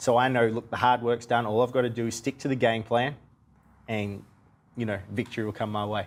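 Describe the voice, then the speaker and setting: Speaking very fast in an Australian accent, a man keeps his medium-pitched voice monotone and flat. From Australia (Melbourne). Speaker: professional boxer. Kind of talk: TV interview.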